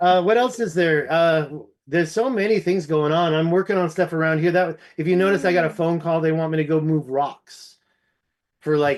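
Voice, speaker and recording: In an American accent, a man speaks with a high pitch. His pace is moderate and his loudness very even. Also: ordinary pitch variation, quiet background. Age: 50s. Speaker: ancient history researcher. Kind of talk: casual chat.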